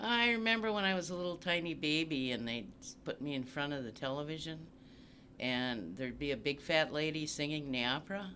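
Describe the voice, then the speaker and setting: A man's fairly high, bright and sharp voice with an Upper Midwest accent and lively intonation. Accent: Upper Midwest American. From US Midwest, Saint Paul, Minnesota. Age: 70s. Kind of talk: oral history interview.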